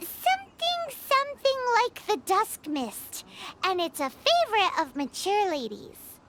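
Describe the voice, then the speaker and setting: A squeaky put-on character voice at an extremely high pitch speaks at a moderate pace. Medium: video game. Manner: lively, casual.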